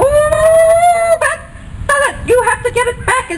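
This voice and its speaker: Someone puts on a character voice at an extremely high pitch, speaking very slowly over light background noise. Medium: read story. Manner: silly, playful.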